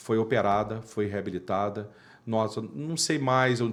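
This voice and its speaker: A man's voice with lively intonation. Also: very clean recording, silent background. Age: 50s. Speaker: dental surgeon. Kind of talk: interview. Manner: animated.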